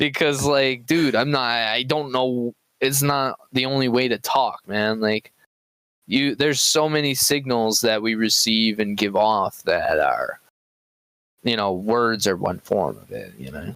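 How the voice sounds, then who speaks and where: A man of medium pitch speaks at a fairly slow pace. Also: ordinary pitch variation. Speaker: podcast co-host. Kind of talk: casual chat. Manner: soft-spoken.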